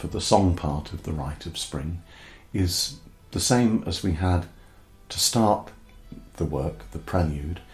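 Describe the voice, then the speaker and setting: A man with a very deep, low voice speaks at a very slow pace with lively intonation and long, frequent pauses while music plays in the background. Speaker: folk musician. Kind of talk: album track-by-track talk. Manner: hesitant, with fillers.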